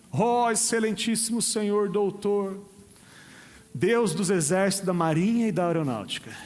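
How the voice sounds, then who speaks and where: With a high pitch and ordinary pitch variation, a man speaks at a fairly slow pace with long, frequent pauses. His loudness is very even, and audible room echo is present. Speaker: pastor. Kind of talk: sermon. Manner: casual, joking.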